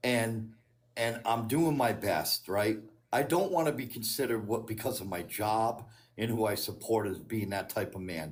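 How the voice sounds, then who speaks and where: Amid audible room echo, a man with an American accent speaks at a medium pitch and moderate pace, with ordinary pitch variation. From Connecticut. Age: 60s. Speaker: caller. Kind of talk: casual chat. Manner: halting.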